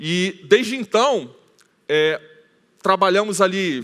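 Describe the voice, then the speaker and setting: A man speaks with a Rio de Janeiro accent. His tone is bright and sharp. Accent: carioca (Rio de Janeiro). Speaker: conference speaker, IT team leader. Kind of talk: conference talk. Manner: casual, with many filler hesitations.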